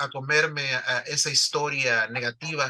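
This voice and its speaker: In a Salvadoran accent, the speaker goes at a fairly slow pace with fairly even intonation and a bright, sharp tone. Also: man. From El Salvador. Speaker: newspaper founder. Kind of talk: interview. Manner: halting, many fillers and repetitions.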